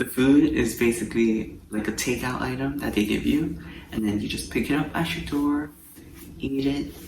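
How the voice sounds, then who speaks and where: At a moderate pace, a man talks in a medium pitch with ordinary pitch variation, over noticeable background noise and audible room echo. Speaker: travel vlogger. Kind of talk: casual vlog talk. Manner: soft-spoken.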